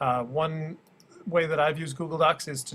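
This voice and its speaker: Intonation is fairly even for this man. He speaks at a fairly quick pace. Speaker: schoolteacher. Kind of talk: tutorial. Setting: screen recording. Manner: fast; hesitant with many fillers.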